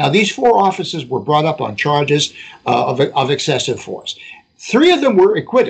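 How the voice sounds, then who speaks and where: A man with an American accent, vocal fry and very wide pitch swings. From Boston, Massachusetts. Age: 70s. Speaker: podcast co-host. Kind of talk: casual chat, storytelling. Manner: halting, many fillers.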